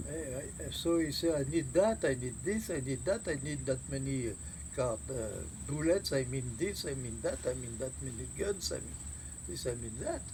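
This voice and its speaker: There is a French accent in this man's speech. He keeps his delivery at a moderate speed. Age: 80s+. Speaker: war veteran. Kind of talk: interview answer.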